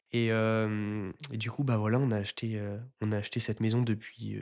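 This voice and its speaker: Monotone, flat intonation carries speech at a moderate pace. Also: man. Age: 20s. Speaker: renovation content creator. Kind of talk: casual interview. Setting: recorded at his house under renovation. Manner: hesitant, many fillers.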